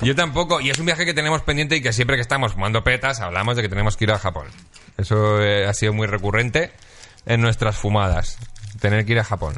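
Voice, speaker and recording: A man speaks very fast in a bright, sharp tone, with lively intonation and very even loudness. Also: medium pitch for a man. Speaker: podcast host. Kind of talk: casual chat.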